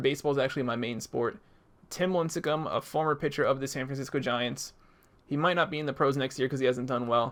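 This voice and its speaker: A man's fairly high voice at a very fast pace. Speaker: gaming YouTuber. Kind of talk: gameplay commentary. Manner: casual, conversational.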